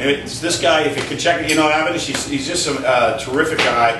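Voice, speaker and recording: Room echo is audible in the recording. There is also noticeable background noise. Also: man. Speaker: internet marketing consultant. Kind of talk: talk to a live audience. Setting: stage with audience. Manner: animated; halting. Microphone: speaking without a mic.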